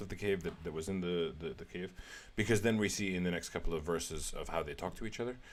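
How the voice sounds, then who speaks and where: With an Arabic accent, a man speaks very fast in a very deep, low pitch with ordinary pitch variation. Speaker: religious text commentator. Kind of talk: religious commentary. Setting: live stream. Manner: halting.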